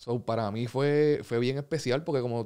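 A dark, mellow tone comes with ordinary variation in pitch. Behind it, the background stays quiet. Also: man. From Puerto Rico. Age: 30s. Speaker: professional basketball player; guest. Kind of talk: casual interview. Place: studio. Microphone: studio mic.

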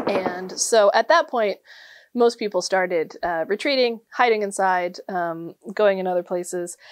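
A woman at a moderate pace with lively intonation. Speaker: presenter. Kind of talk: history storytelling talk.

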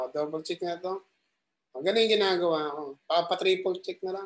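Over light background noise, a man with a high pitch speaks at a fairly quick pace. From Philippines. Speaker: ship officer teaching Excel tutorials. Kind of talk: tutorial. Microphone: webcam.

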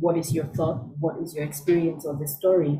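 Her pitch very deep and low, a woman talks at a fairly quick pace, somewhat breathy, with a dark, mellow tone and fairly even intonation. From Cameroon. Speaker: scholar and storyteller. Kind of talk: conversational interview answer.

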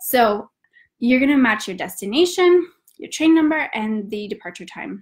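At a fairly slow pace, a woman with an American accent sounds somewhat breathy, her intonation lively over a quiet background. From US South, north Georgia. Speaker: travel company founder. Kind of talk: live webinar tutorial. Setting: online webinar, at home. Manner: hesitant with frequent fillers. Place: home room. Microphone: webcam.

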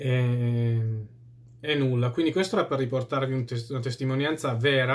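This man's voice sits at a medium pitch and sounds somewhat breathy. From Italy. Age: 30s. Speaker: YouTuber answering viewer comments. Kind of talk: casual monologue. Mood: opinionated, at times scornful. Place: home room. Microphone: phone near.

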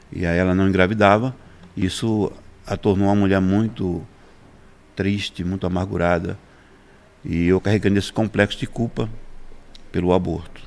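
Long, frequent pauses with fairly even intonation. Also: man, very deep, low pitch for a man, moderate pace. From Brazilian Northeast, interior of Pernambuco. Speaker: pastor; pastor guest. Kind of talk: interview testimony. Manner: halting, repeats words. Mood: somber personal testimony. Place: studio. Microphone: studio mic.

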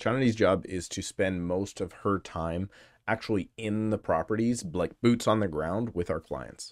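Recorded dry with no echo, a man talks at a moderate pace with a fairly low pitch and ordinary pitch variation. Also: quiet background. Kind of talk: casual educational vlog chat. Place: home room. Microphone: studio mic.

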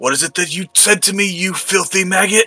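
A gruff, put-on character voice moves at a fairly quick pace over faint music in the background. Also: man. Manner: hostile, snarling.

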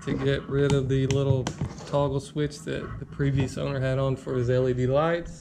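Someone speaks at a fairly slow pace amid noticeable background noise. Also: man. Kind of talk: casual build walkthrough. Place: garage. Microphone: phone near.

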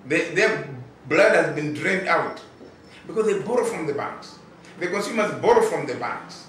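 There is audible room echo and light background noise as a man with a high pitch speaks at a moderate pace, with ordinary pitch variation and long, frequent pauses. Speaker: consumer rights advocate. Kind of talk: interview. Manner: halting, repetitive. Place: office.

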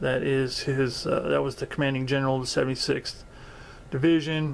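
A man speaks at a moderate pace while light background noise stays underneath. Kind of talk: casual vlog chat. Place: home room. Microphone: phone near.

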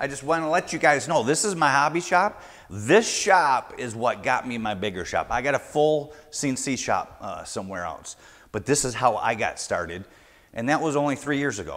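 A man speaks with vocal fry and very wide pitch swings. His pace is moderate over a quiet background. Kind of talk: tutorial. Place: garage. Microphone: lapel.

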